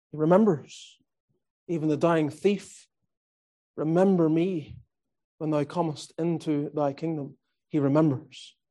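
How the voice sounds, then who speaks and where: Speaking with a Northern Irish accent, a man with a fairly high pitch and a dark, mellow tone talks at a fairly slow pace with fairly even intonation and long, frequent pauses. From Northern Ireland. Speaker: visiting preacher. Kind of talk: sermon.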